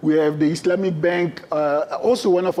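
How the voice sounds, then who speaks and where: A man with a French accent speaks at a fairly quick pace and a high pitch. There is noticeable background noise. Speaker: trade fair sales representative. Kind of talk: presentation.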